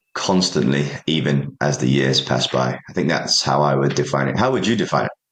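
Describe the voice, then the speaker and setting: Vocal fry marks this man's voice. His intonation is lively. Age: 30s. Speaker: supplement company founder. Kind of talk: interview. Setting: office, remote interview.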